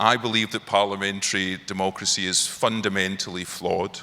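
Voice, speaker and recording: With a Glaswegian accent, a man talks in a fairly low pitch. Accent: Glaswegian brogue. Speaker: parliamentary scholar. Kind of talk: panel discussion.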